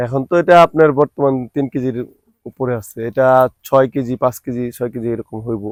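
A man's medium-pitched, fairly even voice, dry and close with no echo, an ordinary speaking voice. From Manikganj, Bangladesh. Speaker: papaya farmer. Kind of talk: interview.

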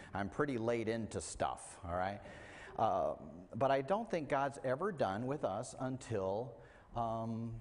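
Pitch varies in an ordinary way as a man talks at a fairly slow pace. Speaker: preacher. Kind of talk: sermon. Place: church.

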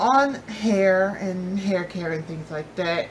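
A somewhat breathy woman speaks fairly slowly with ordinary pitch variation over light background noise. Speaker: beauty vlogger. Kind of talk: casual vlog chat. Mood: cheerful, excited about fall. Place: home room. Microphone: phone near.

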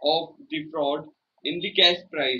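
In a bright, sharp tone, a man speaks at a very slow pace over light background noise. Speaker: speech trainee. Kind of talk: prepared speech. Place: home room. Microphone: phone near.

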